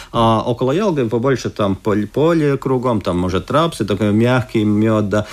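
Ordinary pitch variation marks a man's medium-pitched voice. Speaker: beekeepers' association head. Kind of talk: radio interview. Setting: studio. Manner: hesitant.

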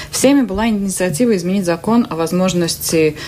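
Fairly low-pitched, moderate-paced speech from a woman, noticeable background noise behind it. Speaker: journalist. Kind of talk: radio interview. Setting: studio.

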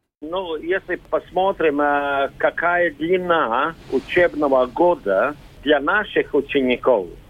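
The speaker talks at a very slow pace with a Latvian accent. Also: man. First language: Latvian (speaking Russian). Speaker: school principal. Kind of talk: recorded interview. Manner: halting, non-native phrasing.

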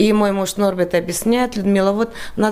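Noticeable background noise sits behind a woman whose voice is at a medium pitch. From Latvia, Riga. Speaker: emigrant interviewee. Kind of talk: radio interview.

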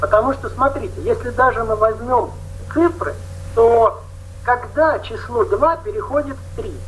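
Noticeable background noise is present throughout. This man's delivery is fairly slow. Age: 60s. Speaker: Buddhist meditation teacher. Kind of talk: panel discussion.

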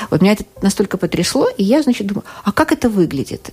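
Her medium-pitched voice swings very widely in pitch as the woman speaks over noticeable background noise. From Russia. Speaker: psychotherapist. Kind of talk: interview. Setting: radio studio.

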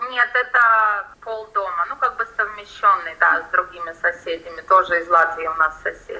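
At a moderate pace and medium pitch, a woman talks with hardly any pauses and ordinary pitch variation, with noticeable background noise behind her. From Latvia, Riga. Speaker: salon owner, emigrant. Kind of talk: interview.

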